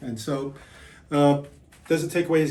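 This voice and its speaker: The voice is somewhat breathy, with fairly even intonation. Room echo is audible around it. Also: man. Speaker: tabletop wargamer. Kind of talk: post-game casual chat. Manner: monotone; deadpan.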